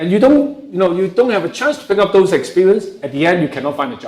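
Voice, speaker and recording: Lively intonation marks this voice with a strong Hong Kong accent, heard in audible room echo. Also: man. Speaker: professor. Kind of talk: lecture.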